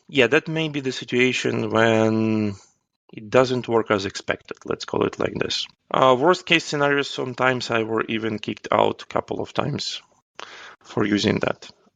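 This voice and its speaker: This man speaks with a Ukrainian accent at a medium pitch and a moderate pace. His sound is dry and close, with no echo. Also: ordinary pitch variation. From Ukraine. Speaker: agile coach. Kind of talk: podcast interview answer.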